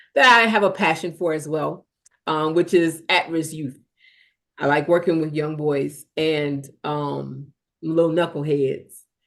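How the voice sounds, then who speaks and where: A woman with an American accent, very deep and low in pitch, fairly even in intonation, at a fairly slow pace. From US South, South Carolina. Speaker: singer. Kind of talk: interview.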